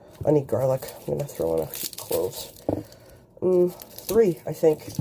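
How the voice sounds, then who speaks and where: Her loudness swings widely as a woman speaks at a moderate pace against noticeable background noise. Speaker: home cook. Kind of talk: casual cooking talk to camera. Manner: casual, chatty.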